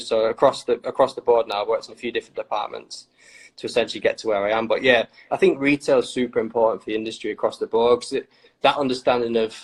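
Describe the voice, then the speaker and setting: The speech comes very fast in a Lincolnshire accent. The sound is dry and close, with no echo. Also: man. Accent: Grimsby. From northern England, Grimsby. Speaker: trainer retail social media staffer. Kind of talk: casual chat.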